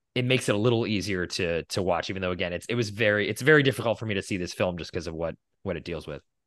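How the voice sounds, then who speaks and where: Against a quiet background, a man with a fairly low pitch talks at a very fast pace with ordinary pitch variation. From Boston, US. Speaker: podcast co-host. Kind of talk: casual chat.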